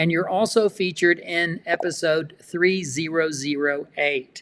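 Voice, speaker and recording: In a South Texas accent, a man speaks with a high pitch and a bright, sharp tone. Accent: Southern Texas. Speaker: quilting show host. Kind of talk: casual interview. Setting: livestream.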